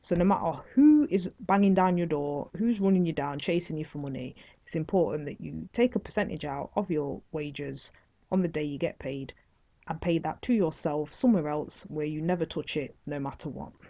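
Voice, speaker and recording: With a Nottingham accent, a woman speaks in a very deep, low, dark and mellow voice with ordinary pitch variation. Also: moderate pace, quiet background. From England, Nottingham. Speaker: online course instructor, entrepreneur. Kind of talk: online course lecture.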